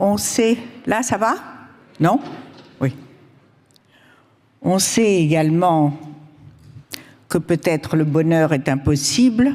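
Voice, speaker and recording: A woman with a dark, mellow tone speaks at a very slow pace and a fairly low pitch. Her pitch swings very widely, and she takes long, frequent pauses. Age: 80s+. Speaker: author and cook. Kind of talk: conference talk.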